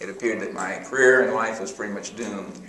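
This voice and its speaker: A man's speech comes through with audible room echo and noticeable background noise. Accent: American. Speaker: professor. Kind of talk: testimony.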